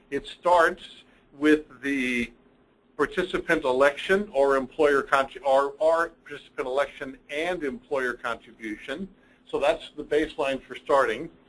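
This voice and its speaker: Here is an ordinary speaking voice from a man with a fairly high pitch. He goes at a fairly slow pace with ordinary pitch variation. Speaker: accounting firm partner presenting reports. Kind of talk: webinar presentation. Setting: online webinar.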